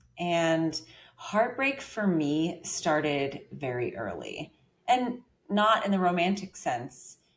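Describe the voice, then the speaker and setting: A woman speaks at a very slow pace in an American accent. Her fairly low voice makes very wide pitch swings. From US Deep South. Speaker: resilience coach. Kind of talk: interview.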